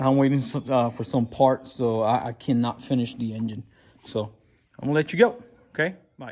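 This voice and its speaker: A man with a Puerto Rican accent speaks with fairly even intonation and long, frequent pauses. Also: medium pitch for a man. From Puerto Rico. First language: Spanish. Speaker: VW mechanic and YouTuber. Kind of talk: casual workshop vlog. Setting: garage workshop. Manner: halting, many fillers and repeats.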